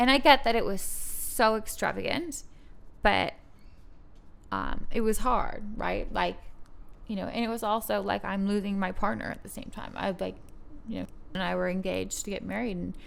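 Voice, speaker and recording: A woman talks at a moderate pace with long, frequent pauses. Room echo is audible. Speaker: model. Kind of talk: casual chat. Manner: halting.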